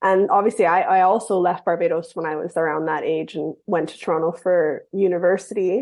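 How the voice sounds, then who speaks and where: A woman with a plain, everyday voice talks at a fairly quick pace with hardly any pauses. Her pitch is fairly low and her intonation fairly even. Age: 30s. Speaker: novelist. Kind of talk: interview.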